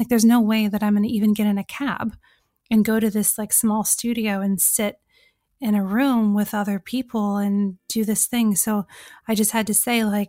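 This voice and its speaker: Recorded very cleanly against a silent background, with dry, close sound and no echo, a woman speaks at a fairly high pitch and moderate pace with monotone, flat intonation. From California. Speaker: author and journalist. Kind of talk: podcast interview.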